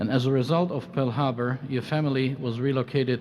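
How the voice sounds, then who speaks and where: Over noticeable background noise, a man talks at a fairly quick pace in a medium pitch with fairly even intonation. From Luxembourg. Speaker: conference moderator. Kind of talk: panel moderation. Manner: halting.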